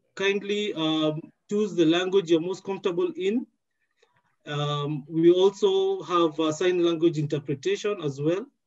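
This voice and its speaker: With a quiet background, a man delivers his words at a fairly slow pace. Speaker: event moderator. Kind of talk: housekeeping announcement. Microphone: headset.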